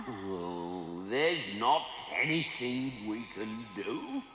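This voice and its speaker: In a cartoonish character voice at medium pitch, a man speaks at a very slow pace over clear background noise, with a clear echo. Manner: ungrammatical, meek.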